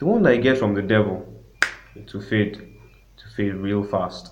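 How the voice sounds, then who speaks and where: Somewhat breathy and fairly low in pitch, a man talks at a fairly slow pace with fairly even intonation. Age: 20s. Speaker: music producer. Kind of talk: casual interview.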